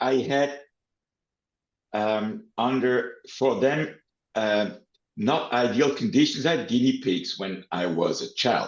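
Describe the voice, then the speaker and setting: Speaking at a very slow pace, a man uses lively intonation at a medium pitch. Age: 60s. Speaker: animal protection lawyer. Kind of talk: interview. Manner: halting.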